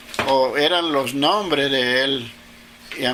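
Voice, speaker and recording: A man with a fairly high pitch talks at a very slow pace. Audible room echo and noticeable background noise fill the recording. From Caribbean coast of Colombia, Sabanalarga (Atlántico). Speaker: interviewee recounting his life. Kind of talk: interview. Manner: halting.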